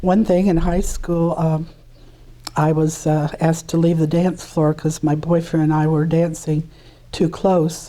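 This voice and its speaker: A woman with an American accent speaks fairly slowly in a fairly low, flat monotone. Background noise is noticeable. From US Midwest, Indianapolis, Indiana. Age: 70s. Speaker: interviewee, retired flight attendant. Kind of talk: interview. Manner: hesitant, with many fillers.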